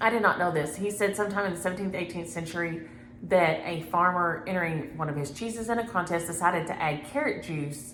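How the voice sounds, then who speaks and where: Amid audible room echo, a woman with a Southern US accent talks at a fairly low pitch and a fairly quick pace with ordinary pitch variation. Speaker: cross-stitch vlogger. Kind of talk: casual chat. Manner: fast.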